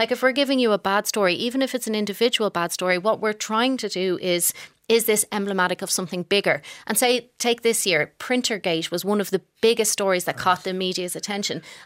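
In an Irish accent, a woman talks very fast at a medium pitch with ordinary pitch variation, her voice dry and close with no echo on a very clean recording with a silent background. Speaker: news editor. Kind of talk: panel discussion.

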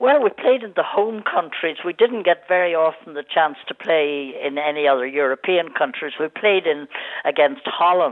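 Delivered at a moderate pace with lively intonation, the speech comes over noticeable background noise. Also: woman. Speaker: former international hockey player. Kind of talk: casual interview.

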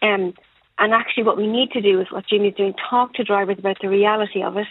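In a dry, close sound with no echo, a woman talks at a fairly quick pace with medium pitch, fairly even intonation and a slightly husky edge.

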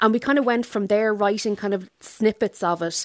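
A woman's fairly quick speech with an Irish accent and ordinary pitch variation, in a dry, close sound without echo. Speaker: novelist. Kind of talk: radio interview.

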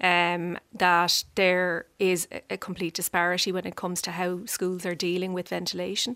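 With an Irish accent, a woman speaks at medium pitch in a monotone, flat intonation, recorded very cleanly against a silent background with a dry, close sound and no echo. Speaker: politician. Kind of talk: radio panel debate. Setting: studio.

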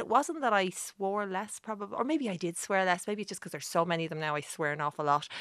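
Against a quiet background, a woman talks very fast at a medium pitch. Her tone is bright and sharp, and her intonation is lively. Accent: Irish. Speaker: journalist and author. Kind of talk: radio interview.

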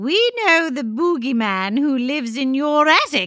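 Very slowly, a woman speaks in a raised, projected voice, high in pitch with a bright, sharp tone and very wide pitch swings. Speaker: comedic radio show co-host. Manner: playful, theatrical.

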